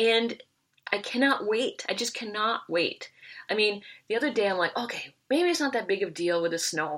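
In a very clean recording with a silent background, a woman speaks at a moderate pace in an unremarkable speaking voice, her pitch fairly high and her intonation lively. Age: 50s. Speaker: recovering hoarder. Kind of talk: casual chat. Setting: studio.

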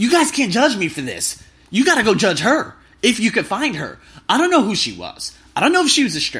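Speaking at a fairly quick pace, a man with an extremely high pitch and a bright, sharp tone makes very wide pitch swings. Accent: American. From US, Las Vegas. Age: 20s. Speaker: travel podcaster. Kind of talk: casual monologue. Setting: hotel room. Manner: animated; loud.

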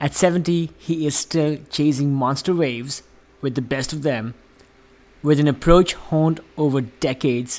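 Talking at a moderate pace, a man with a normal speaking voice uses a fairly high pitch and fairly even intonation. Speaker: podcast host. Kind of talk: scripted intro and outro.

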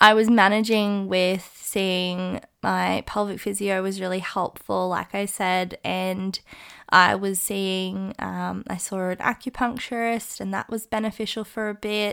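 In an Australian accent, a woman speaks at a medium pitch and a fairly slow pace with monotone, flat intonation, on a very clean recording with a silent background. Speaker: podcast host. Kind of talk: personal testimony monologue.

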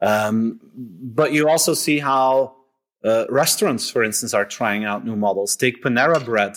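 A man with a Dutch accent speaks at a moderate pace with lively intonation. The recording is very clean, with a silent background. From Belgium (Flanders). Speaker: author and keynote speaker. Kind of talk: interview.

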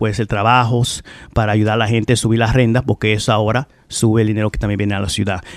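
A man's voice with fairly even intonation, dry and close with no echo. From Dominican family, raised in US Northeast and Dominican Republic. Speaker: political candidate. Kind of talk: radio interview. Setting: radio studio. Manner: halting, many fillers.

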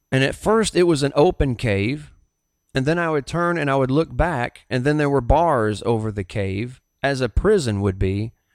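On a very clean recording with a silent background, a man with a Southern US accent speaks at a moderate pace and medium pitch, with lively intonation. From US South. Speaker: pastor and podcast host. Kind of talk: sermon-style podcast monologue; testimony.

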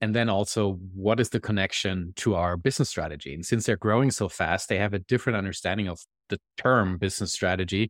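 Very fast speech comes from a man with a German accent. The recording is very clean with a silent background and a dry, close sound with no echo. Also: fairly low pitch for a man, ordinary pitch variation. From Germany. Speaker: management consultant and author. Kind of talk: interview.

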